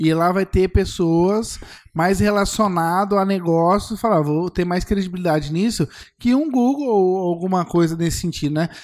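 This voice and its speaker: On a very clean recording with a silent background, a man talks in a high voice. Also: ordinary pitch variation, moderate pace. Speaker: podcast co-host. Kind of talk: casual chat.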